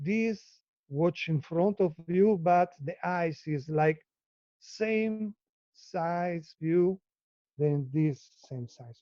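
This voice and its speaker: A man with an Italian accent and a high pitch talks very slowly, with long, frequent pauses, big swings in loudness and ordinary pitch variation. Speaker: live artist. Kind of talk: casual chat. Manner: halting.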